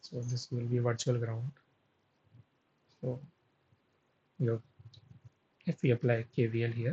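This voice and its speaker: A man's dark, mellow, somewhat breathy voice, fairly slow with long, frequent pauses. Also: medium pitch for a man. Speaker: teaching assistant running a course live session. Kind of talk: live tutorial session solving problems. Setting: live online session.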